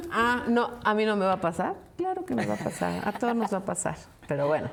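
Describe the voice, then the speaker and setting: A woman talks at a fairly quick pace with very even loudness over noticeable background noise. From Mexico, provinces. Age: 60s. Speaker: podcast co-host. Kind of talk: casual chat.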